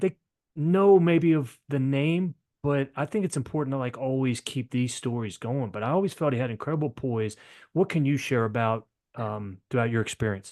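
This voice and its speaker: A man with a slight Maryland accent speaks at medium pitch with lively intonation. The sound is dry and close with no echo, over a quiet background. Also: moderate pace. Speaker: podcast host. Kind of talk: interview.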